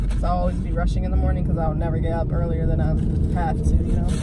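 Against loud background noise, a woman speaks, the sound dry with no echo. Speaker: vlogger. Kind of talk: casual vlog chat. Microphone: phone near.

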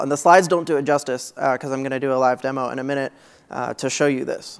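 Against a quiet background, a man speaks in a monotone, flat intonation. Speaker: conference speaker, technical advocate. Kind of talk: technical conference talk. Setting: stage. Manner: fast talker. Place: hall.

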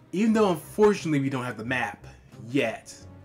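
A man talks at a medium speed while music plays behind him. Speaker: gaming commentator. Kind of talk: let's play commentary. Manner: halting, repeats words.

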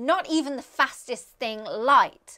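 A woman's raised, projected voice, bright and sharp in tone, with very wide pitch swings over a quiet background. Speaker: astrophysicist. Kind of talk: science explainer to camera. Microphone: lapel.

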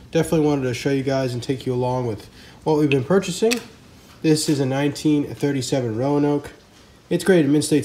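Light background noise can be heard. A man speaks with a dark, mellow tone and ordinary pitch variation. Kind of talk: casual show-and-tell commentary. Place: home room. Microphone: phone near.

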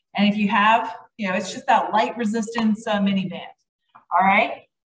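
A woman's voice with fairly even intonation, audible room echo, and light background noise. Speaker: fitness instructor. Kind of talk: workout class instruction. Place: gym.

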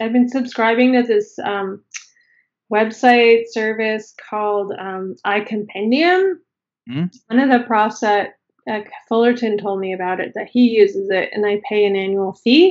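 The background is quiet. A woman with a fairly high pitch speaks in a Canadian accent. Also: ordinary pitch variation, fairly slow pace. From Canada, Toronto. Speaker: ceramic artist; podcast guest. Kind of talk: casual chat. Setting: video call. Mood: relaxed, friendly. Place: home room. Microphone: video call.

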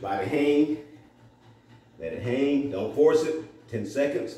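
A man with a fairly high voice at a fairly slow pace, with audible echo from the room. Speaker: fitness instructor. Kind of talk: guided workout coaching. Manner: loud, motivating, commanding cues. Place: gym. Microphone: camera far.

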